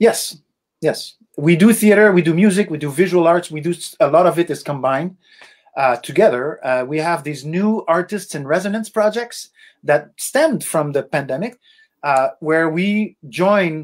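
Speaking with a Quebec French accent, a man uses a high voice at a moderate pace with ordinary pitch variation. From Quebec, Laurentian Mountains. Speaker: musician and arts foundation founder. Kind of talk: interview.

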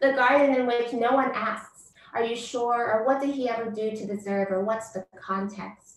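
Amid audible room echo, a woman with an American accent talks at a moderate pace, her fairly high pitch following fairly even intonation. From US. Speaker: poet and professor; poet, professor. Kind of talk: poetry reading. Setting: video call. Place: home room. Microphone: far from the computer; webcam.

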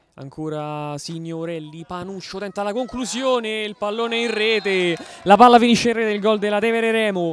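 A man speaks in an animated, excited tone with a high pitch, ordinary pitch variation and big swings in loudness. The sound is dry with no echo, over light background noise. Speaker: sports commentator and interviewer. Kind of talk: live futsal match commentary, then post-match interviews. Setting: futsal club venue, at the match. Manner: fast, breathless, rapid-fire play-by-play; animated, excited on goals.

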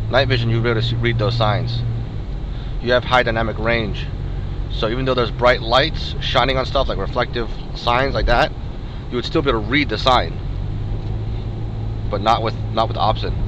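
A man talking fairly quickly, dry sound with no echo, noticeable background noise. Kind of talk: commentary. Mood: mildly critical, explanatory. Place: car. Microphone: camera far.

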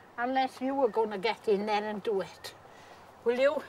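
A woman with a South Welsh accent, high-pitched, at a moderate pace with ordinary pitch variation, in a dry sound with no echo over light background noise. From south Wales. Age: 80s+. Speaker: farmer. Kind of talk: casual chat. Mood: blunt, gently scolding. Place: farm machine.

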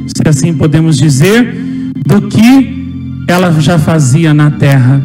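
A man speaks at a very slow pace. Music is clearly heard in the background. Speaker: speaker. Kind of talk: sermon. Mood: devout, emotional. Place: church. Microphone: handheld.

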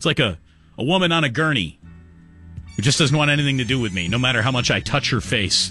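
Clear music in the background, with a dry sound and no echo. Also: man. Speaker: sports radio host. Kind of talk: sports talk radio. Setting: studio. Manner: casual, wry. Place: studio.

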